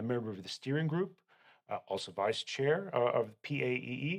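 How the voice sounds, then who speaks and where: A man with a Canadian accent speaks at a moderate pace. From Canada. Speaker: accountant. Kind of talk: interview. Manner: halting.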